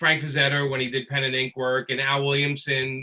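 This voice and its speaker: Speaking at a moderate pace with a Brooklyn accent, a man has a fairly high pitch and a bright, sharp tone. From Brooklyn, New York. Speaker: comic book inker and writer. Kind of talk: panel interview.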